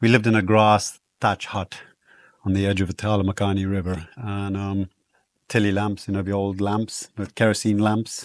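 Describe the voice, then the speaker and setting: With a South African accent, a man speaks in a monotone, flat intonation against a quiet background. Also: fairly low pitch for a man, moderate pace. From southern Africa (South Africa/Botswana), then Guyana. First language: Afrikaans. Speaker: wilderness guide. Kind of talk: casual chat. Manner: hesitant, many fillers.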